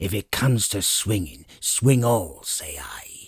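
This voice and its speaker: A man puts on a growling character voice at a medium pitch. He delivers it at a fairly slow pace. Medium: read story. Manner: gruff, curt.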